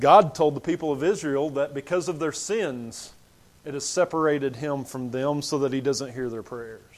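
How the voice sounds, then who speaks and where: This man has an ordinary speaking voice, pitched fairly high. He talks at a moderate pace with ordinary pitch variation. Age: 40s. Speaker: preacher. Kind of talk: sermon.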